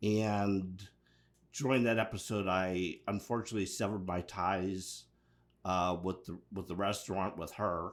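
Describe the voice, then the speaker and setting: In a very clean recording with a silent background, a man talks fairly slowly in a very deep, low voice. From Pittsburgh, US. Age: 60s. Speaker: mental health resources coordinator. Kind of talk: interview.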